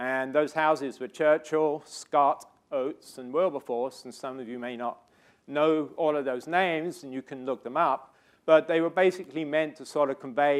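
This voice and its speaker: In a British accent, a man speaks at a moderate pace with fairly even intonation. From Britain. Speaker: scientist and research director. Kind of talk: lecture. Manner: hesitant with fillers.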